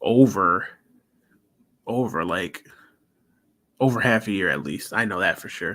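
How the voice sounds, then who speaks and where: This man has a fairly low voice with a bright, sharp tone and ordinary pitch variation. He talks at a fairly slow pace, with long, frequent pauses. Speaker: livestreamer, channel owner. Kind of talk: casual livestream chat. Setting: live stream. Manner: casual, filler-heavy.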